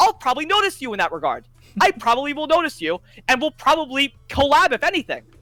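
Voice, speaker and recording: The voice is loud. It moves at a very fast pace. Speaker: gaming content creator. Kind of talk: casual chat. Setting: call on a live stream. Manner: animated.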